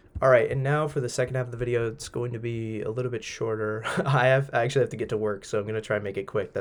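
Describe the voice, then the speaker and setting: Doing a put-on character voice, a man talks very fast in a raspy voice at a medium pitch, with fairly even intonation. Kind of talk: casual educational video host. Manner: speaking quickly, hurried.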